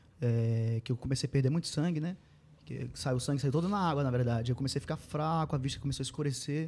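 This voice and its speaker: A man talks at a very fast pace and a fairly high pitch. His voice is somewhat breathy, with ordinary pitch variation. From Pará, Brazil (Mãe do Rio). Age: 30s. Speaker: sertanejo singer. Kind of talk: casual interview.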